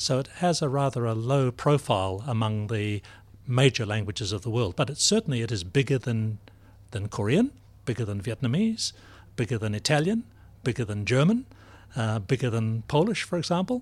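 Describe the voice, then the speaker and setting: Over a very clean recording with a silent background, a man at medium pitch speaks at a fairly quick pace, somewhat breathy, with lively intonation. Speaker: professor of languages. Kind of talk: interview discussion. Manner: formal.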